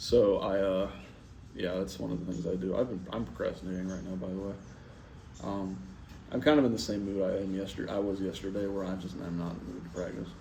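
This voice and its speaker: A man's very deep, low voice with vocal fry, a dark, mellow tone, lively intonation and a very fast pace, plus audible room echo. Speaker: saxophone player vlogging practice. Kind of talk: casual solo vlog talk. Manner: halting, many fillers.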